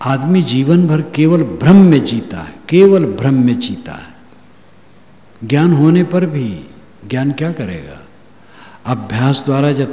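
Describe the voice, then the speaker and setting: Over noticeable background noise, a man talks with lively intonation and big swings in loudness. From rural North India. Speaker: spiritual preacher. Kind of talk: religious discourse.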